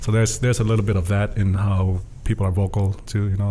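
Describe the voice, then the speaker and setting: A man talks with a dark, mellow tone and a fairly low pitch. His voice is somewhat breathy, and his intonation stays fairly even. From Tonga. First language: Tongan (bilingual with English). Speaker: student leadership program manager. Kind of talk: podcast interview. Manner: hesitant with fillers and restarts.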